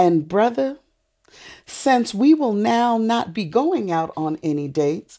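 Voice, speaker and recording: With an American accent and a dark, mellow tone, a woman speaks at a medium pitch and a very slow pace with very wide pitch swings in a very clean recording with a silent background. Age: 50s. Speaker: podcast guest. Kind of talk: casual chat.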